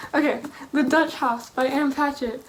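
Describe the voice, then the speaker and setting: Amid noticeable background noise, a woman speaks in a high pitch with monotone, flat intonation. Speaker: book vlogger. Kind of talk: casual vlog monologue.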